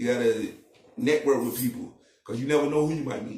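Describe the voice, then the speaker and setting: At a fairly quick pace, a man speaks in a fairly high, somewhat breathy voice with lively intonation. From Charlotte, North Carolina. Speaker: rapper. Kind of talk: podcast interview.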